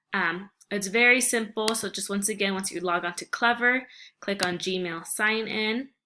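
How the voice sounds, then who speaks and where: Speaking at a moderate pace, a woman uses a medium pitch and a bright, sharp tone. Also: ordinary pitch variation. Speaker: teacher. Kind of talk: tutorial.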